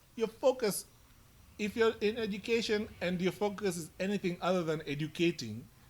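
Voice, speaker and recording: The speaker is loud. Pitch varies in an ordinary way. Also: man, high pitch for a man, moderate pace. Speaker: podcast co-host. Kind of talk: casual chat. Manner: animated.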